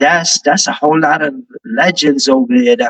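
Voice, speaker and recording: The voice has a New York accent and very wide pitch swings. The sound is dry and close, with no echo. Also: man. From New York, Brooklyn and Manila. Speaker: rapper. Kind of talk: casual interview chat.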